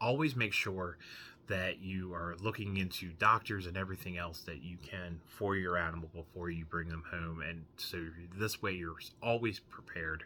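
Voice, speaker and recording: A man with a very deep, low pitch and a bright, sharp tone talks at a moderate pace. His intonation is fairly even, and the recording is very clean with a silent background. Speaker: comic book YouTuber. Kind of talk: casual vlog monologue. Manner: halting.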